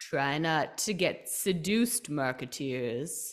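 A raspy, put-on character voice sits at a middle pitch. The pace is fairly slow. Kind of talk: radio announcer voice.

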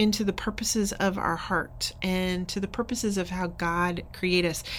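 In an ordinary speaking voice, the speaker talks at a fairly slow pace with ordinary pitch variation. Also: woman. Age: 50s. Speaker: pastor. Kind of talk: podcast intro monologue.

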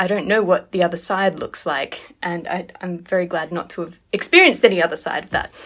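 With an unremarkable speaking voice, a woman talks at a fairly quick pace and medium pitch, fairly even intonation, hardly any pauses and big swings in loudness. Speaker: violinist. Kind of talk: casual interview. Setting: video call.

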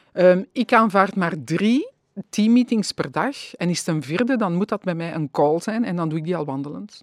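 Fairly quick speech with lively intonation and a dry, close sound with no echo. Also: woman. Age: 50s. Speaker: wellbeing consultant. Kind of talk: casual interview. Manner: hesitant with many fillers.

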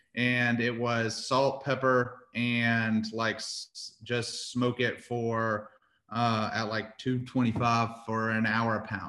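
A man with an American accent has a medium pitch and a bright, sharp tone, delivered with monotone, flat intonation. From Houston, Texas. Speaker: barbecue restaurant owner. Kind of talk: casual interview.

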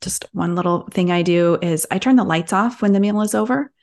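This is a woman with a plain, everyday voice. She keeps a moderate pace and fairly even intonation. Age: 40s. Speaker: health coach. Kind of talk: interview.

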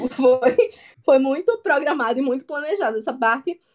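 A woman with a northeastern Brazilian accent and a high-pitched voice. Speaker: comic artist. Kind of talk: interview.

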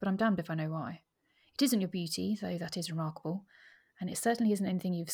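Reading aloud in a natural voice, the speaker uses ordinary pitch variation against a quiet background.

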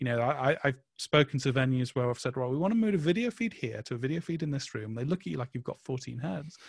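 Very fast and with hardly any pauses, a man speaks at a medium pitch with lively intonation and a somewhat breathy sound. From northern England. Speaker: events agency content head. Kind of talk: interview. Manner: halting.

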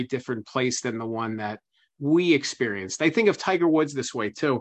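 In a quiet background, a man speaks at a moderate pace in an unremarkable speaking voice, his pitch varying in an ordinary way. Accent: American. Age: 30s. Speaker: author and biographer. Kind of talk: interview.

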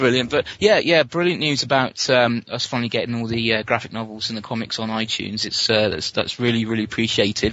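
A man with an English accent, a medium pitch and a fairly quick pace. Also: hardly any pauses. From England. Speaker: fan asking questions. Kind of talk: Q&A with fans.

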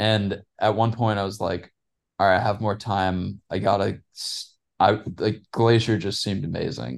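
A man speaks fairly slowly in a fairly low pitch with vocal fry and ordinary pitch variation. The background is quiet. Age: 20s. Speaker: cyclist and business student. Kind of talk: casual chat.

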